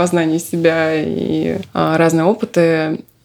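Noticeable background noise under a woman's speech. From Russia, Moscow. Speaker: podcast guest, self-discovery practitioner. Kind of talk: casual interview.

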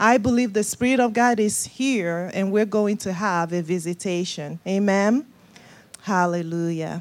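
A woman in a Nigerian accent speaks at a medium pitch and a fairly slow pace. Her pitch variation is ordinary. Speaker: guest preacher. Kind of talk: sermon. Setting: church.

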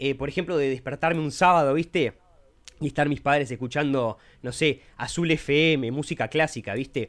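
A man's plain, everyday voice sits fairly high in pitch, moving at a moderate pace with ordinary pitch variation. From Uruguay (Montevideo). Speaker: podcast co-host, lawyer. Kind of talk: casual chat.

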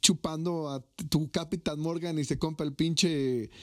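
The very clean recording, with a silent background, captures a man with a high voice and a Mexican accent. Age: 20s. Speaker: podcast host. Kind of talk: casual chat.

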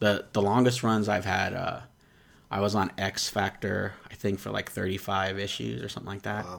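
Here is a man with a normal speaking voice and a fairly low pitch. He keeps a moderate pace and fairly even intonation. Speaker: comic book artist. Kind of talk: casual chat.

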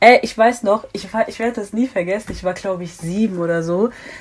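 With an ordinary speaking voice, a woman talks at a fairly quick pace and medium pitch, keeping a fairly even intonation. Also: big swings in loudness. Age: 20s. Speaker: student and activist. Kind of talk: casual podcast interview.

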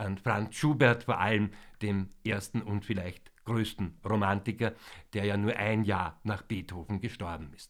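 An unremarkable speaking voice goes at a fairly slow pace with fairly even intonation. The recording is very clean, with a silent background. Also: man. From Vienna, Austria. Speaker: concert introducer / music presenter. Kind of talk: pre-concert talk to an audience. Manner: formal.

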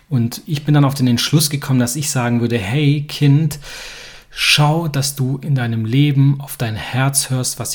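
Fairly even intonation at a fairly slow pace, with noticeable background noise. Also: man. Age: 30s. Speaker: podcast host. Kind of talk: podcast monologue.

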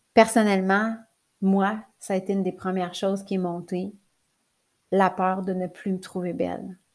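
In a Quebec accent, a woman speaks at medium pitch and a fairly slow pace, with long, frequent pauses. Her intonation is monotone and flat, and the recording is very clean with a silent background. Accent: Québécois French. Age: 40s. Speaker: life coach and podcaster. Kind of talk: personal monologue. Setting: recording at her computer.

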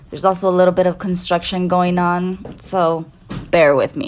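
Music plays behind a woman speaking at a moderate pace. Her pitch is medium. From Salinas Valley, California. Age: 20s. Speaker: podcast host.

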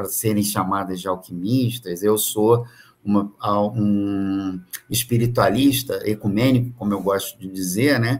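A man talks at a fairly slow pace in a plain, everyday voice, with fairly even intonation. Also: fairly low pitch for a man. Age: 50s. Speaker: business mentor. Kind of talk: casual chat.

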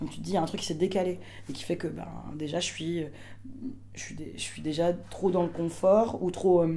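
Amid noticeable background noise and audible room echo, a woman with a fairly low pitch speaks at a moderate pace with fairly even intonation, big swings in loudness, and long, frequent pauses. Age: 30s. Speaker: performer and stage director. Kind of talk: casual interview. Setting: theatre dressing room.

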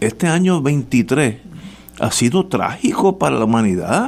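This is a man's voice. He speaks with a Puerto Rican accent. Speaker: radio host. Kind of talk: casual panel talk on political radio. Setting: radio studio.

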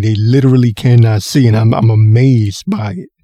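A man speaks at a moderate pace in a dark, mellow, somewhat breathy tone with ordinary pitch variation, the sound dry and close with no echo. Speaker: podcast host. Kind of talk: solo podcast rant. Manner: animated.

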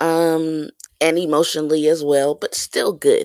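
Speaking at a very slow pace, a woman with a fairly low pitch is heard in a dry, close sound with no echo. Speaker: podcast co-host. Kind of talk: casual chat.

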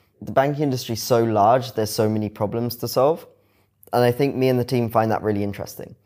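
In a British accent, a man talks very fast with a dark, mellow tone, medium pitch and fairly even intonation, on a very clean recording with a silent background. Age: 20s. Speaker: fintech founder and CEO. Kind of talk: interview. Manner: casual.

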